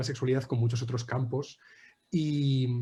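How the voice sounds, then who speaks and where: A man with a medium pitch talks very fast in a somewhat breathy, dark, mellow tone with monotone, flat intonation. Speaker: anthropology researcher. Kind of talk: academic presentation.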